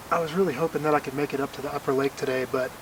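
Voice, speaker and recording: A man speaks quietly at a medium pitch in a monotone, flat intonation, with noticeable background noise. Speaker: hiker vlogger. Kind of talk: casual vlog to camera. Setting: outdoors at a campsite. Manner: quiet, hushed.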